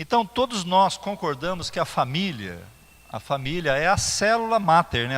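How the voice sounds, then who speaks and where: A man speaks at a moderate pace with a high pitch and very wide pitch swings. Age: 60s. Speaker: pastor. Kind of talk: sermon. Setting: church. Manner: halting, with fillers and repetitions.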